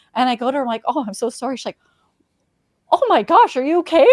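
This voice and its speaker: An animated woman speaks in a high pitch with a slight Saskatchewan accent. Her pitch swings very widely, and the sound is dry and close with no echo. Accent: Canadian, slight Saskatchewan. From Canada, Saskatchewan (Regina). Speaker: sports reporter. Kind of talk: casual chat.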